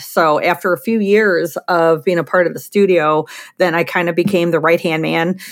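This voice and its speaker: A woman with an ordinary speaking voice, fairly low pitch, moderate pace and ordinary pitch variation, in a very clean recording with a silent background. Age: 40s. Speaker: portrait photographer. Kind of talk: interview.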